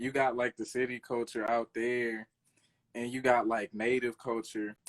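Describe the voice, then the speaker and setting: A man speaks with a Louisiana accent in a monotone, flat way. The sound is dry and close with no echo. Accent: Louisiana country. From Louisiana, US South. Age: 20s. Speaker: rapper and producer. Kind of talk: interview. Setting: live stream interview. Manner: casual, halting with fillers.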